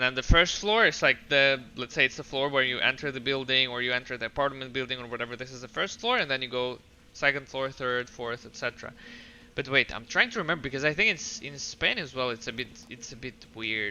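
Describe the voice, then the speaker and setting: Very fast speech in a Russian accent, with big swings in loudness. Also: man, medium pitch for a man, ordinary pitch variation. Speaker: video game streamer. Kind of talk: casual chat. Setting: live stream. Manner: halting.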